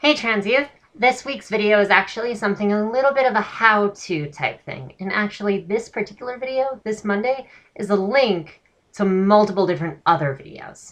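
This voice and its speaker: Her loudness swings widely as a woman talks at medium pitch and a moderate pace with lively intonation. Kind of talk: voice training tutorial talk to camera. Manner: trained feminine voice.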